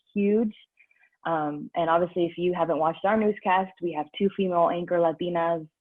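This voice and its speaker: A woman with an American accent talks at a fairly quick pace in a normal speaking voice. Her pitch is fairly low, and her intonation stays fairly even. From California, San Diego. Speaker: TV news anchor. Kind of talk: panel discussion. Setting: video call.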